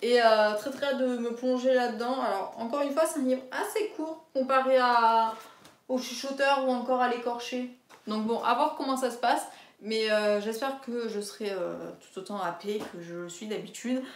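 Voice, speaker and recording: With audible room echo around her, a woman talks at a moderate pace in a high pitch. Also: ordinary pitch variation. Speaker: book vlogger. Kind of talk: casual chat. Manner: hesitant, many fillers.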